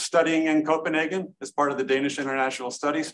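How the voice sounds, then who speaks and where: An unremarkable speaking voice from a man with an American accent, fairly high in pitch, fairly quick in pace, with fairly even intonation. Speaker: architect. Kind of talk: conference panel presentation. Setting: stage with audience.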